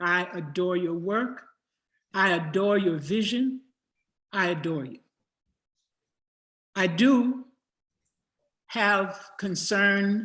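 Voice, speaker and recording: A woman with an American accent speaks at a very slow pace in a medium pitch, with ordinary pitch variation and long, frequent pauses. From US South, Jackson, Tennessee. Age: 80s+. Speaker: storyteller and playwright. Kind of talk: audience question in panel discussion.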